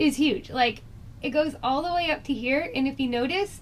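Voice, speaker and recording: A woman talks at a moderate pace in a high pitch, with noticeable background noise behind her. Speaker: beauty vlogger. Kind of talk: makeup review.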